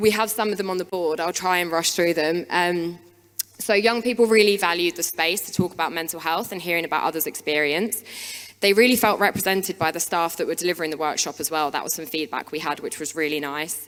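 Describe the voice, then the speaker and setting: A woman races along at a very fast pace, her voice fairly low and her pitch varying in an ordinary way. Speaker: wellbeing practitioner. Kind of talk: conference talk. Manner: hesitant, many fillers.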